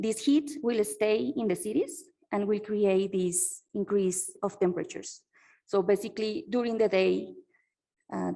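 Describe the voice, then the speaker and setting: A woman's medium-pitched voice with a dark, mellow tone, lively intonation and a moderate pace. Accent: Spanish. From Colombia. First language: Spanish. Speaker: PhD researcher. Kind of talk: conference keynote talk. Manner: halting, many fillers.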